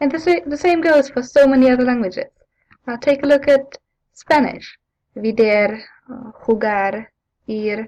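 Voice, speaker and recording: Speaking at a moderate pace with a non-native accent, a woman uses a high pitch, big swings in loudness and long, frequent pauses. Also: ordinary pitch variation. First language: not English. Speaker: language teacher. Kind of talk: tutorial. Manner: hesitant, with fillers.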